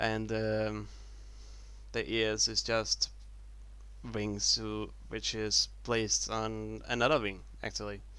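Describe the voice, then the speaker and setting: With a non-native accent, a man talks at a very slow pace with long, frequent pauses. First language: not English. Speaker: YouTuber showing Lego builds. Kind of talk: casual video commentary. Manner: halting.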